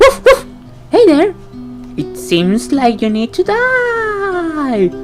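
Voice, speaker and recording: Clear music plays behind a put-on character voice that speaks very slowly at a high pitch. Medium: stage play. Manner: upbeat, salesy.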